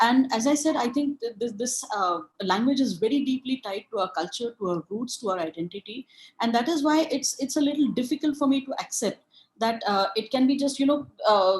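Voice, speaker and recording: Talking at a fairly quick pace, a woman with an Indian accent uses a high pitch and lively intonation. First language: Marathi. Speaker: webinar speaker. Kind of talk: lecture. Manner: halting.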